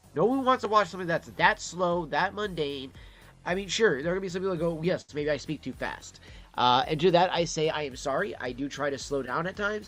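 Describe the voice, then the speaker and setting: Talking at a fairly quick pace, a man with an American accent uses a high pitch and lively intonation. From Detroit, Michigan. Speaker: livestreamer. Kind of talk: casual livestream chat. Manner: fast.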